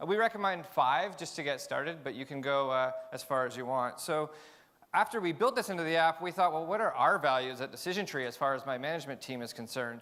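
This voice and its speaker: A man talks loudly at a very fast pace. His tone is bright and sharp, with ordinary pitch variation. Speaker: tech company CEO. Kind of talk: conference talk. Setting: stage with audience.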